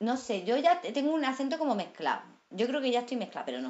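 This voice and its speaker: Her pitch is high, and this woman's voice swings very widely up and down. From Andalusia. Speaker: actress. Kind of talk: casual chat. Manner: animated.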